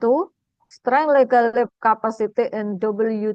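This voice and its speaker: In a dry, close sound with no echo, a woman with an Indonesian accent speaks very slowly with ordinary pitch variation. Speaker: academic speaker. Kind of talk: lecture. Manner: halting.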